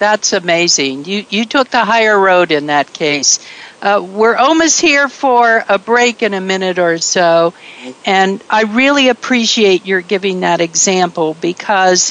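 Speaking at a fairly slow pace, a woman with a medium pitch uses lively intonation while keeping her loudness very even. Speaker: radio host. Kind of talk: casual interview. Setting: internet radio studio. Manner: projecting.

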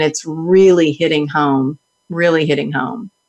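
A woman speaks in a Texan accent at a fairly slow pace. Her pitch is fairly low, with ordinary variation. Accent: Texan Southern US. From Texas. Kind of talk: interview. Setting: video call.

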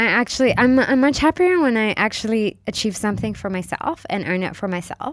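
The background stays quiet. A woman talks at a moderate pace with an American accent. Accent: American-sounding English. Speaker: corporate social responsibility consultant. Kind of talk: interview. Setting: studio. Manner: halting, many fillers.

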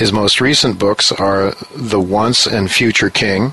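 A man talks at a fairly slow pace and a fairly low pitch, with ordinary pitch variation. There is noticeable background noise. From US. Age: 60s. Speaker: radio host and newsletter writer. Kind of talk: interview on financial radio show. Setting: studio in New York. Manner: halting, many fillers.

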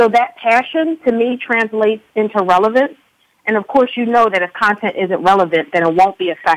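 Talking at a fairly quick pace with an American accent, a woman has a normal speaking voice, a fairly high pitch and lively intonation. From Philadelphia, US.

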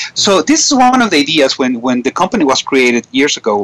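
A man talks at a fairly quick pace with lively intonation. The sound is dry and close with no echo, though background noise is noticeable. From Venezuela. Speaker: radio host, business coach. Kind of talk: radio interview. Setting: internet radio studio, guest remote.

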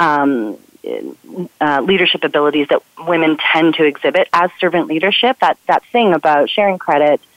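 This woman has a fairly low pitch and an ordinary speaking voice. She talks at a moderate pace. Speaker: communication strategist. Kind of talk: radio conversation.

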